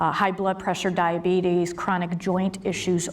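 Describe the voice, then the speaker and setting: A woman speaks at a medium pitch, with noticeable background noise and audible room echo. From US Midwest, Cleveland suburb. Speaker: government program director. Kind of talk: conference presentation.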